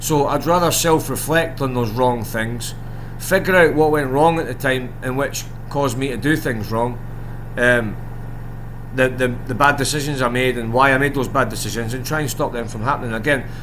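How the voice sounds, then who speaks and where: Over noticeable background noise and audible room echo, a man speaks at medium pitch with fairly even intonation and a moderate pace. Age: 40s. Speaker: gambling content creator. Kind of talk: casual monologue to camera. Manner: rambling, hesitant with many ums.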